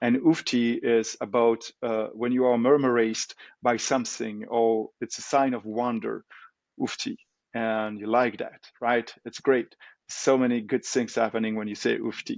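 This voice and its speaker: Speaking with a Belgian French accent, a man keeps a medium pitch and a moderate pace in a monotone, flat delivery. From Belgium. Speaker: tech company co-founder. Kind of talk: interview. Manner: hesitant, many fillers.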